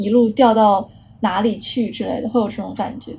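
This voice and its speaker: Fairly quick and somewhat breathy, a woman speaks with a dark, mellow tone at a fairly high pitch and fairly even intonation. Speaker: architecture student. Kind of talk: casual chat.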